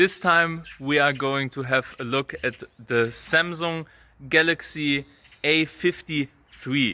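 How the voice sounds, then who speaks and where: With a strong German accent, the speaker goes at a fairly slow pace, the tone bright and sharp and the pitch varying in an ordinary way. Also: man. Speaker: smartphone reviewer.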